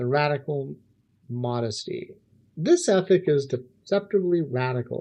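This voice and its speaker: The man sounds somewhat breathy, with ordinary pitch variation. He goes at a fairly slow pace. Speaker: philosophy livestream host. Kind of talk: philosophical monologue on a livestream.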